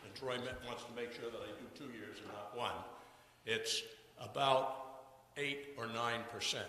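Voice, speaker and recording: Noticeable background noise and audible room echo surround a man speaking at medium pitch. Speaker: resident speaking at town meeting. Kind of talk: public meeting comment. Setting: town meeting hall.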